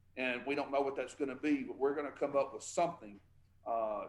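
With a Southern US accent, a man speaks in fairly even intonation. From Tupelo, Mississippi. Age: 40s. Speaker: state senator. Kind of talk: interview.

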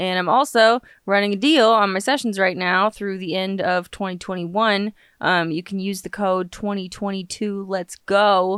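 A woman with an American accent speaks at a moderate pace in a medium pitch, with fairly even intonation and a plain, everyday voice, on a very clean recording with a silent background. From Los Angeles, US. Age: 20s. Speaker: witchcraft podcaster, author and singer-songwriter. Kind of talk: casual solo podcast monologue. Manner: chatty, humorous, digressive.

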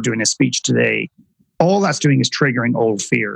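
In an Irish accent, a man talks at a fairly quick pace, the sound dry and close with no echo. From Ireland. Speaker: author and filmmaker. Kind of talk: interview conversation.

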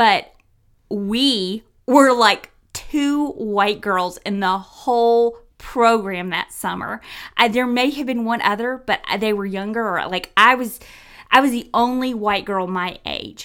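A very slow pace in a Southern US accent. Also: woman, fairly high pitch for a woman, ordinary pitch variation. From US South, Tennessee. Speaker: podcast co-host. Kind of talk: casual chat.

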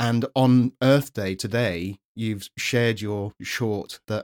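Someone with a British accent speaks in a dry, close sound with no echo. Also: man, very clean recording, silent background. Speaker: podcast host. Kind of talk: casual interview.

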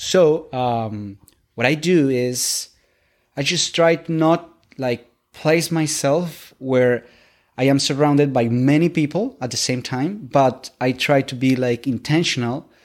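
The speech comes at a very slow pace with a Spanish accent and ordinary pitch variation. It is a very clean recording with a silent background. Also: man. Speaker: English learner, immigrant. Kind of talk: interview. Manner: halting, with repetitions.

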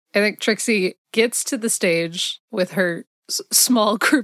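Recorded dry and close with no echo, a woman uses an ordinary speaking voice at medium pitch with ordinary pitch variation. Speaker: guest podcaster and voice actress. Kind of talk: casual chat, actual play roleplaying game.

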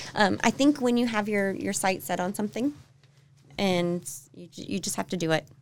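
With an American accent and an ordinary speaking voice, a woman talks at a moderate pace and medium pitch, her intonation lively and her loudness swinging widely. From Florida and Tennessee, US South. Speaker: real estate agent, home stager. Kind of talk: casual interview. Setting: office studio.

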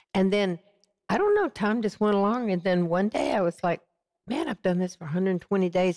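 Very clean with a silent background, the recording gives a woman's voice a dry, close sound with no echo. Her fairly low voice has a dark, mellow tone, ordinary pitch variation and a fairly quick pace. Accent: Southern US. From US South, Georgia and Texas. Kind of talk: interview testimony. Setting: TV studio set.

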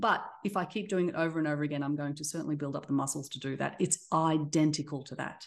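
Against a quiet background, a woman with an Australian accent talks at a very fast pace, her very deep, low pitch showing ordinary pitch variation. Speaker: tech company CEO. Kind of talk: interview conversation. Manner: halting, with fillers.

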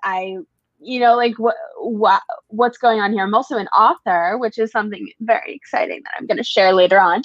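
A woman with an American accent uses an ordinary speaking voice at a fairly high pitch. She keeps a moderate pace with ordinary pitch variation. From New York City, the Bronx. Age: 20s. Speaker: social media influencer. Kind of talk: casual chat.

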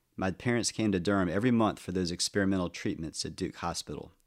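On a very clean recording with a silent background, a man with an ordinary speaking voice talks at a fairly quick pace and fairly low pitch, with ordinary pitch variation. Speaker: podcast narrator. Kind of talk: scripted personal narration, reflective memoir storytelling about aging parents. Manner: measured; tender, wistful.

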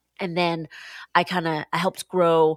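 In a very clean recording with a silent background, a woman with a Pacific Northwest accent speaks at a fairly low pitch. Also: dry, close sound with no echo. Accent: American, Pacific Northwest. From Seattle, US Pacific Northwest. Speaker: pastor. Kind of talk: interview conversation.

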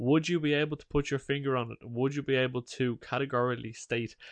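A man with an Irish accent is recorded with a dry, close sound, no echo and a quiet background. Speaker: podcast co-host. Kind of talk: casual chat.

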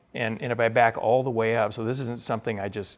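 A man speaks in an ordinary speaking voice with an American accent. His pitch sits fairly low and his intonation stays fairly even. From US Pacific Northwest (Spokane, Washington). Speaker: author and entrepreneur. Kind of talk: interview.

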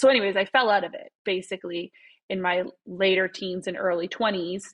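A woman talks with a Canadian Prairies accent. Her pitch is medium and her pace moderate. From Saskatchewan, Canada (Saskatoon). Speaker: family physician. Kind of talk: casual interview.

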